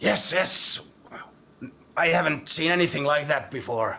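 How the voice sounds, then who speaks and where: Using a put-on character voice, a man sounds raspy, with a fairly high pitch. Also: moderate pace, ordinary pitch variation. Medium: actual play. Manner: agitated, urgent.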